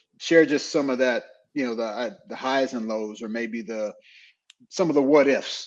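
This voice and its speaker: Speaking with a normal speaking voice, a man keeps a medium pitch and ordinary pitch variation. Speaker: podcast co-host, former team manager. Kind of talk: casual chat. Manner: casual, slangy.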